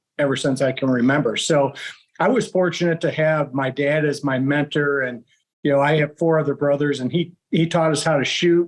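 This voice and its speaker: An unremarkable speaking voice from a man with an American accent, fairly high in pitch, fairly even in intonation, at a moderate pace. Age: 60s. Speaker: bow hunter, archery club president. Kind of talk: podcast interview.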